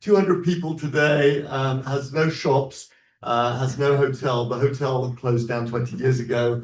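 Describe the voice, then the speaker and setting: At a moderate pace, a man talks at a medium pitch, somewhat breathy, with ordinary pitch variation. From England. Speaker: rabbi, guest speaker. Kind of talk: talk to an audience.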